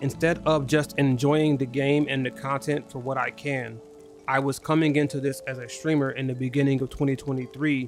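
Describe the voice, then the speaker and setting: With music in the background, a man speaks at a medium pitch with monotone, flat intonation. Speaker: gaming streamer. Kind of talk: live stream chat. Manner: fast.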